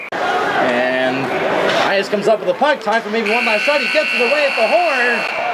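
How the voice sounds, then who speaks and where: Over loud background noise, a man speaks in an animated tone with lively intonation at a moderate pace. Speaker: hockey play-by-play announcer. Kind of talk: live commentary. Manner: animated, rising excitement on goals.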